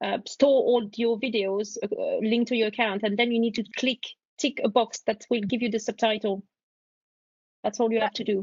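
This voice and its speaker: A woman's fairly high, somewhat breathy voice stays monotone, with flat intonation. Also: moderate pace. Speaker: university lecturer presenter. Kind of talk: casual Q&A.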